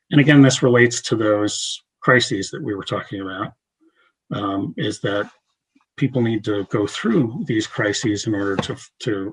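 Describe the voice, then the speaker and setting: A man with a somewhat breathy, fairly low voice talks at a moderate pace. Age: 60s. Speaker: therapist and chaplain presenter. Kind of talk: lecture. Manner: halting, many fillers.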